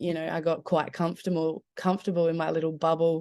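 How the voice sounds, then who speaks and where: Her voice fairly low and her intonation monotone and flat, a woman talks with an Australian accent. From Adelaide, South Australia. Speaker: musician. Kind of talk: casual chat. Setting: video call from her bedroom.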